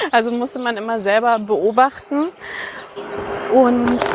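Over noticeable background noise, a woman speaks with a fairly high pitch and ordinary pitch variation. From Franconia, near Nuremberg, Germany. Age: 40s. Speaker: author. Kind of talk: casual conversation. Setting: outdoors, walking through Berlin park. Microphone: occasional echo.

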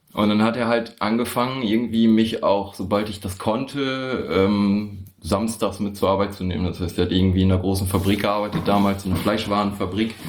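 Music plays in the background and room echo is audible as the speaker talks at a fairly quick pace with fairly even intonation. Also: man, fairly low pitch for a man. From northern Germany, Osnabrück area. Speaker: chronic pain patient. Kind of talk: casual chat. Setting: shared table mic, several people in one room. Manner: halting. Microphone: poor audio quality.

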